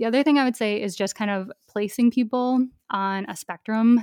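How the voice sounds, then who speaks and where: A woman's ordinary speaking voice with an American accent, fairly quick in pace with ordinary pitch variation, dry and close with no echo on a very clean recording with a silent background. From rural Minnesota. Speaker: online shop owner and educator. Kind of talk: podcast interview.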